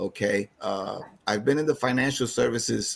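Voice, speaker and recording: A man with a New York accent and ordinary pitch variation. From New York City (East Harlem). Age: 60s. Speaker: financial advisor. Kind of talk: seminar presentation. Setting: online video call. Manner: halting.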